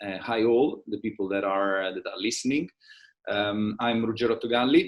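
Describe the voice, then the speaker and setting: A man with a fairly low pitch speaks with a strong Italian accent. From Italy. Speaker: trade show managing director. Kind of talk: interview. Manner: halting, many fillers.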